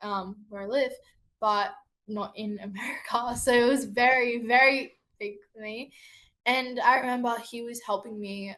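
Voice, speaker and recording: Speaking at a fairly slow pace with an Australian accent, a woman uses a fairly high pitch and a bright, sharp tone, her intonation fairly even but her loudness swinging widely. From Australia, Sydney. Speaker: singer-songwriter. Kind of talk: interview. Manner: halting.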